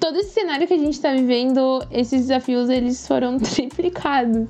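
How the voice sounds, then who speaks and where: A woman speaks at a high pitch, her tone animated, with noticeable background noise behind her. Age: 20s. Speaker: climate activist. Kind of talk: interview.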